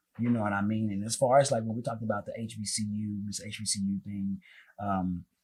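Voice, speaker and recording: A man with an American accent speaks very fast in a fairly low, somewhat breathy voice with monotone, flat intonation. The recording is very clean, with a silent background. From US South, North Carolina. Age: 20s. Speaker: singer and entertainer. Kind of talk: casual interview.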